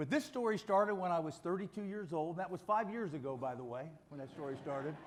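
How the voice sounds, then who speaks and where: A man talks at a fairly quick pace with an American accent and lively intonation. He has an unremarkable speaking voice. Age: 60s. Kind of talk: testimony.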